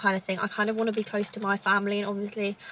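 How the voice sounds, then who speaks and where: The speech moves at a very fast pace in a southern English accent. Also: woman. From southern England, Cambridgeshire. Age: 20s. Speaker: lifestyle vlogger. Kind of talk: casual chat. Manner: rambling conversational.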